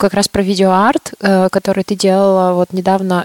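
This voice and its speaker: With a dry, close sound and no echo, a woman of medium pitch speaks at a moderate pace in a monotone, flat intonation. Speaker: podcast co-host. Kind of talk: casual chat.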